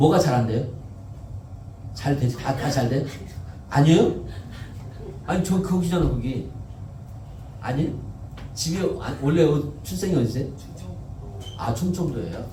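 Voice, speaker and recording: A man's fairly high voice with lively intonation, a moderate pace and long, frequent pauses, plus noticeable background noise and audible room echo. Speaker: pastor. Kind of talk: sermon. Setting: church. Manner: conversational, asks congregation questions.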